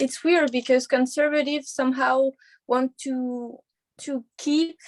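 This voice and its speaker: A woman with a non-native accent talks at a high pitch and a fairly slow pace. The sound is dry and close, with no echo. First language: not English. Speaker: university student. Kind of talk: class discussion. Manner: halting, many fillers.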